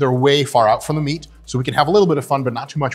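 Very fast speech from a man, faint music in the background. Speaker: gym host, coach. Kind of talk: casual vlog chat. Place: gym.

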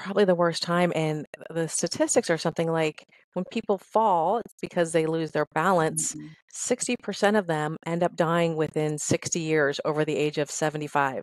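Here a woman with an American accent talks at a moderate pace, her pitch fairly low. The sound is dry with no echo, and the background is quiet. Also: ordinary pitch variation. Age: 50s. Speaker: fitness trainer. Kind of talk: interview. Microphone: headset.

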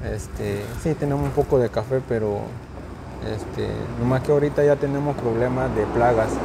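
Amid noticeable background noise, a man speaks at a moderate pace. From Chiapas, Mexico (rural village). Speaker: migrant farmworker. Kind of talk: casual interview. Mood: calm, somewhat subdued. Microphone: lapel.

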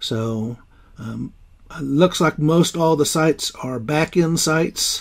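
With ordinary pitch variation and quiet surroundings, a man talks very slowly. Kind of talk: casual tour commentary. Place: car. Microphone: phone near.

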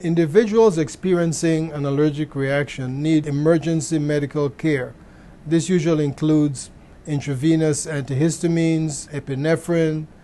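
A man is speaking. His pace is moderate and his intonation fairly even. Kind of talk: interview answer. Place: office. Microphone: lapel.

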